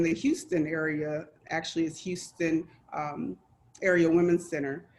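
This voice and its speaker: Her voice is shaky and fairly low for a woman. She keeps a fairly slow pace and fairly even intonation. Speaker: domestic violence survivor speaker. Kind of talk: testimony. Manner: shaky voice.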